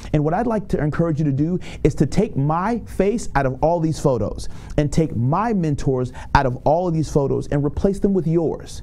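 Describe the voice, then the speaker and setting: Over noticeable background noise, a man with a fairly high pitch speaks at a moderate pace in an animated tone with lively intonation. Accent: American. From Tampa, Florida. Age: 30s. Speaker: motivational speaker. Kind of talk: motivational talk.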